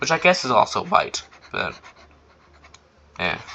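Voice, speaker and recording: There is noticeable background noise. A man talks over it at a fairly slow pace. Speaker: artist drawing and talking about own fantasy world. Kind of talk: casual drawing commentary. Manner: halting, repeats words.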